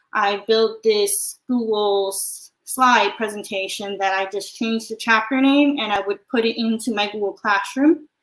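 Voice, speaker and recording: In an ordinary speaking voice, a woman with a fairly high pitch speaks at a fairly slow pace with hardly any pauses and ordinary pitch variation. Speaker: math teacher. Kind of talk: webinar presentation. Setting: live online stream.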